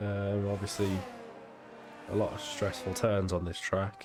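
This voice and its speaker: A man at a fairly low pitch and a moderate pace, with music in the background. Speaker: sim racing commentator. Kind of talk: live commentary. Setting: live stream. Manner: animated.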